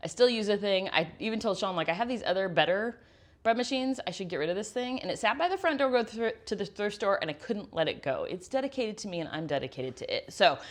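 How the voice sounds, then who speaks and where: Speaking at a very fast pace with hardly any pauses, a woman sounds animated. Her pitch swings very widely over a quiet background. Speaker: homesteading YouTuber. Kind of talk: product recommendations in kitchen. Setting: home kitchen. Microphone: new handheld microphone.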